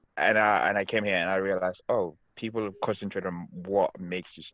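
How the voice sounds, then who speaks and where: A man with a Senegalese accent and a fairly low pitch. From Gambia. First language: Wolof. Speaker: podcast co-host. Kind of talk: casual chat.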